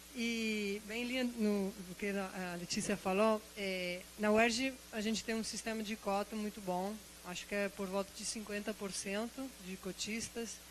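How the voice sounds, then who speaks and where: A woman's medium-pitched voice, monotone and flat, at a fairly slow pace with hardly any pauses. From outside Brazil. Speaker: university biology lecturer, audience member. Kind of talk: audience comment at a symposium. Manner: halting, many repetitions.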